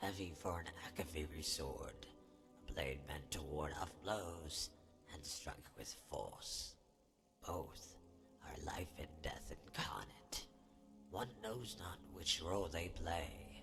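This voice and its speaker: A man whispers in a put-on character voice at a fairly slow pace. He leaves long, frequent pauses while music plays in the background. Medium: machinima. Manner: haughty, condescending.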